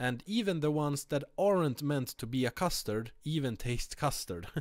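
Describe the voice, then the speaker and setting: With lively intonation and a Swedish accent, a man talks at a moderate pace in a very clean recording with a silent background. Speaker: vape reviewer. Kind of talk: product review. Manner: halting, many fillers.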